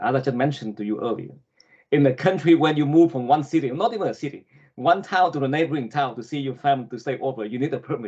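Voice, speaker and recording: Talking at a very fast pace with a Vietnamese accent, a man of fairly high pitch uses ordinary pitch variation. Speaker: political candidate. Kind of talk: interview. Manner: halting.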